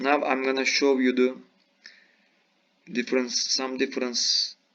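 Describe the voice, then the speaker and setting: A man speaks with a non-native accent. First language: not English. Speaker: video game youtuber. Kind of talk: gameplay tutorial. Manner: halting.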